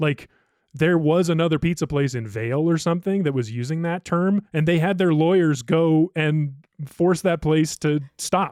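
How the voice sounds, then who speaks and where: A man's normal speaking voice, fairly high in pitch, with an American accent, a moderate pace and ordinary pitch variation, dry and close with no echo. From Ohio. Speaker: podcast producer. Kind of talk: casual chat. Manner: casual, filler-heavy.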